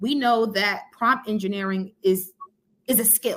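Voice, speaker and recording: A woman's animated, bright, sharp voice, fairly high in pitch, moves at a fairly slow pace. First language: Spanish. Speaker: ed-tech entrepreneur and educator. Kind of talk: podcast interview.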